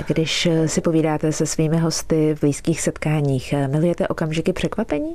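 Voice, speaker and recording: Over noticeable background noise, a woman with a very deep, low pitch talks at a fairly quick pace with hardly any pauses, very even loudness and monotone, flat intonation. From Czech Republic, Prague. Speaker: radio host and meteorologist. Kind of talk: radio interview.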